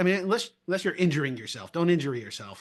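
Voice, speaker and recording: A man at a very fast pace with lively intonation over a quiet background. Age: 60s. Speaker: podcast host. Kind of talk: casual interview chat.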